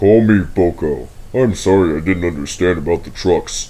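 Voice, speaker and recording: In a put-on character voice, a man with a very deep, low pitch talks at a moderate pace. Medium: read story.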